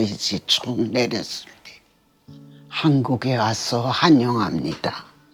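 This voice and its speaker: Over music in the background, a woman speaks very slowly in a very deep, low pitch with ordinary pitch variation. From Pyongyang, North Korea. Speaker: North Korean defector. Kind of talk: interview answer.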